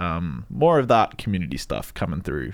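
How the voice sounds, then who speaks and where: A man with an Australian accent, very deep, low pitch, a fairly quick pace, and noticeable background noise. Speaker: radio podcast host. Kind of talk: casual chat. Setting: studio.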